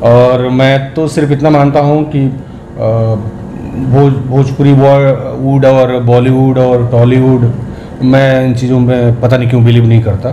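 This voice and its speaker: A man with a Bihari accent speaks in monotone, flat intonation at very even loudness, with audible room echo and noticeable background noise. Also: medium pitch for a man. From Bihar, India. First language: Bhojpuri (speaking Hindi). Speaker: film actor. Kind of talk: interview.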